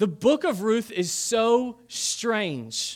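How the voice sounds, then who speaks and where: Animated in tone, a man speaks at a high pitch. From Kentucky. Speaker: pastor. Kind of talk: sermon.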